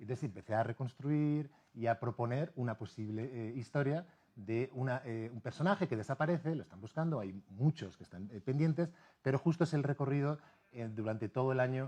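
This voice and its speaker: With a Spanish accent, a man speaks in a dark, mellow tone. His pitch is medium, with ordinary pitch variation. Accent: Spanish (Spain). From Spain, Madrid. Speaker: novelist and university teacher. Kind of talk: TV interview. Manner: halting, many fillers.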